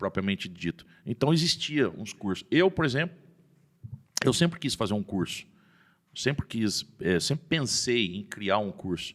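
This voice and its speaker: A man's voice, at medium pitch, swings very widely up and down in pitch. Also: fairly slow pace. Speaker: rodeo announcer, podcast guest. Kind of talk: casual podcast interview answer.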